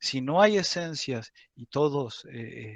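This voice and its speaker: A man with a fairly high pitch and ordinary pitch variation is heard in a dry, close sound with no echo. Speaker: university teaching assistant. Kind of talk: lecture. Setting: video call. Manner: slow; halting.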